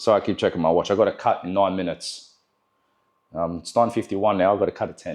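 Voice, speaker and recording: A man talks with an Australian accent. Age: 20s. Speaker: barber. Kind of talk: tutorial. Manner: casual, filler-heavy.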